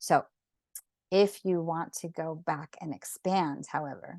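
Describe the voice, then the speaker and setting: In a plain, everyday voice, a woman talks with fairly low pitch and fairly even intonation, the sound dry and close with no echo. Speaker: sacred geometry drawing teacher. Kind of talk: online class tutorial.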